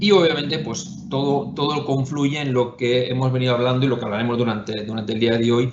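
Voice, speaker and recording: A medium-pitched man with a Spanish accent, fairly quick pace, hardly any pauses and ordinary pitch variation, amid noticeable background noise and audible room echo. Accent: Spanish (Spain). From Spain. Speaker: investment firm executive. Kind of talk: webinar panel discussion. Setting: online webinar. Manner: hesitant, many fillers and repetitions.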